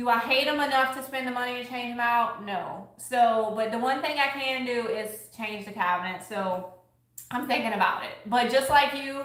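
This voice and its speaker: Speaking in a strong Louisiana accent, a woman with a high pitch goes at a fairly quick pace with ordinary pitch variation, amid audible room echo and noticeable background noise. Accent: strong Southern US (Louisiana). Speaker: crafter and thrift-flip YouTuber. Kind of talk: casual livestream chat while crafting. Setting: live video stream. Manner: casual, chatty.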